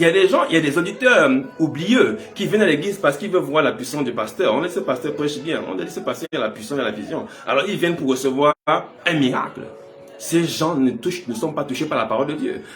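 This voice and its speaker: A man talks at a fairly brisk clip, his voice carrying audible room echo over noticeable background noise. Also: fairly high pitch for a man, lively intonation. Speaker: pastor. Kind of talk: sermon.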